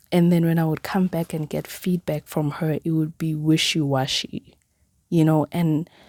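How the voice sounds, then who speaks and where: In a Zulu accent, the speaker delivers monotone, flat intonation at a moderate pace. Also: woman. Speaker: podcaster. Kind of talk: personal podcast monologue. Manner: casual, filler-heavy.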